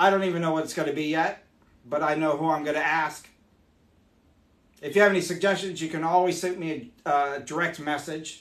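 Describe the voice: Pausing long and often, a man speaks in a fairly bright tone with fairly even intonation amid audible room echo.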